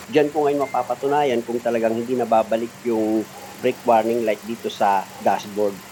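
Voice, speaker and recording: At a fairly quick pace, a man speaks at medium pitch over noticeable background noise. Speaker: auto mechanic. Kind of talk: tutorial. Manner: loud; animated.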